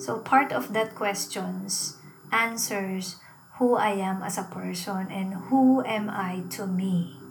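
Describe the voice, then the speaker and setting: A woman talks at a very slow pace. Room echo is audible, and background noise is noticeable. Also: medium pitch for a woman, ordinary pitch variation. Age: 40s. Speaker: podcast host and teacher. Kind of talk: personal storytelling monologue.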